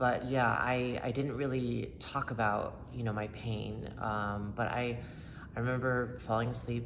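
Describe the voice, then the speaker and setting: Audible room echo surrounds a man speaking very slowly with an American accent. His fairly low voice keeps a fairly even intonation. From upstate New York and North Carolina. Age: 30s. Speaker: person in recovery sharing testimony. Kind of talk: testimony. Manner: halting, many fillers; casual, conversational.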